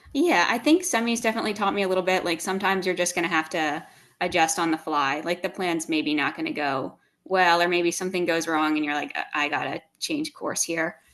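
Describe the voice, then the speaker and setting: The speaker has a normal speaking voice and a fairly quick pace. The background is quiet. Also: woman, fairly low pitch for a woman, ordinary pitch variation. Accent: American. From US Northeast, outside Philadelphia. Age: young. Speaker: CrossFit athlete. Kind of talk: podcast interview.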